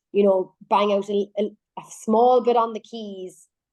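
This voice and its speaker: Against a quiet background, a woman speaks at medium pitch in an animated tone. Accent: Irish. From Ireland. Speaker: singer-songwriter. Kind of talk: radio interview.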